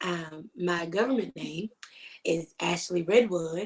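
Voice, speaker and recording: A woman speaks at a fairly slow pace with an American accent. It's a normal speaking voice with ordinary pitch variation. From Richmond, Virginia, US. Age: 30s. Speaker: fitness business owner and dance fitness instructor. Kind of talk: interview.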